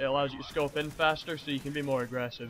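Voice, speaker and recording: The man speaks at a fairly high pitch. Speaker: gaming commentator. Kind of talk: gameplay commentary. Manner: halting.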